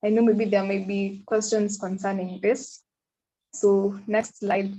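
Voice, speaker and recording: A woman speaks with a Kenyan accent. Her somewhat breathy voice moves at a fairly slow pace. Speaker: pharmacy student, exchange officer. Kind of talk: online presentation.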